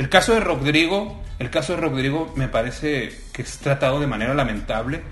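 A man's fairly high voice with lively intonation at a moderate pace, amid noticeable background noise and audible room echo. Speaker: writer. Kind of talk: casual chat.

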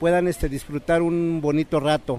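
This is a man talking. His pitch sits fairly high. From northern State of Mexico. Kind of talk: recorded interview. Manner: halting.

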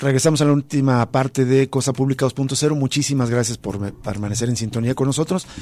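A man's medium-pitched voice with a dark, mellow tone, a fairly quick pace, fairly even intonation and hardly any pauses. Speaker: radio host. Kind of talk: radio news and analysis show. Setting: radio studio.

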